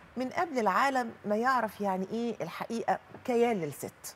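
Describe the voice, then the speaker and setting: A woman keeps a moderate pace while light background noise sits underneath. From Egypt. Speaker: journalist and writer; journalist. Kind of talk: studio interview. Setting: studio. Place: studio.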